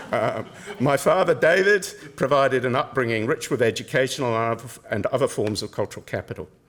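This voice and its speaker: A man at medium pitch rattles along at a very fast pace with lively intonation. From Cook Islands and Taranaki, New Zealand. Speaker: professor. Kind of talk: lecture. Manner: formal.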